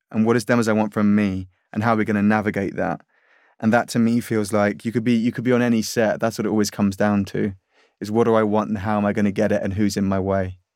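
Over a silent background in a very clean recording, a man with a British accent talks very fast at a fairly low pitch with monotone, flat intonation. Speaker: actor. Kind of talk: casual chat.

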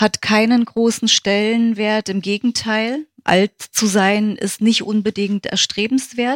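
A woman's fairly high voice at a very slow pace, monotone and flat in intonation with hardly any pauses, in a dry, close sound with no echo. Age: 50s. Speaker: yoga teacher and physiotherapist. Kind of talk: interview.

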